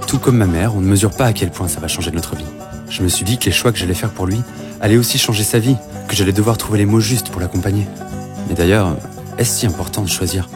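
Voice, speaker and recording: A man's very fast, fairly low-pitched talk with ordinary pitch variation and long, frequent pauses over music in the background. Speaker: voice actor. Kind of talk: animated short narration, first-person storytelling.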